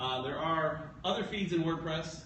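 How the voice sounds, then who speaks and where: A high-pitched man with fairly even intonation, plus audible room echo and noticeable background noise. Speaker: meetup presenter. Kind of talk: presentation. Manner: fast.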